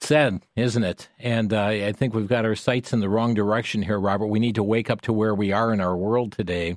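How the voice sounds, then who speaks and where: A man with a fairly low pitch speaks at a fairly quick pace, with hardly any pauses. His intonation is fairly even and his loudness stays very even. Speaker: radio talk show host. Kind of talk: call-in radio talk show. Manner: earnest, somewhat halting with fillers.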